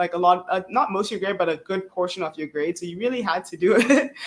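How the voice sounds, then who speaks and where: Talking at a very fast pace, a woman keeps a fairly low pitch with ordinary variation. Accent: East African. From South Africa, Cape Town. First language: Swahili. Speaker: PhD student. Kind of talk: interview.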